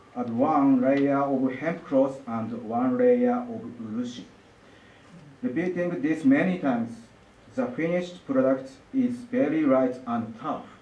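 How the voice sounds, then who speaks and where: Over audible room echo, a man with a Japanese accent speaks at a fairly high pitch with ordinary pitch variation. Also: fairly slow pace. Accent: Japanese, non-native English. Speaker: lacquer artist. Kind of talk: artist presentation. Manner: halting.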